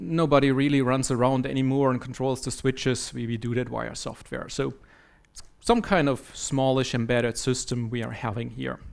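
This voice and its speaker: Somebody with a German accent talks at a moderate pace. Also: man. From Germany. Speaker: software trainer and conference speaker. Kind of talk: conference talk.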